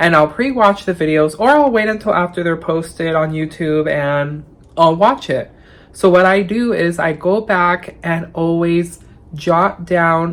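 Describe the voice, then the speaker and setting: A woman with an unremarkable speaking voice talks at a fairly slow pace, her pitch fairly low and its variation ordinary. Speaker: thrift YouTuber. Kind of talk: casual vlog reflection.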